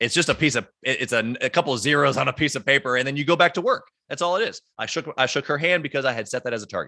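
A man's fairly high, animated voice with a bright, sharp tone at a very fast pace. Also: ordinary pitch variation, hardly any pauses. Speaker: entrepreneur. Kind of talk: interview.

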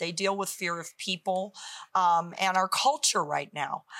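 A woman speaks in an ordinary speaking voice. Her pitch is medium, and her pace is moderate. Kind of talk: faith talk show interview with prayer decrees.

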